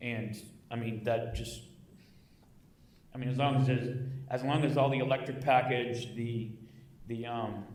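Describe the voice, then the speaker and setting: Over noticeable background noise and audible room echo, a man with medium pitch talks in a monotone, flat intonation, with long, frequent pauses. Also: moderate pace. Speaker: city council member. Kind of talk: council meeting discussion. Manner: loud.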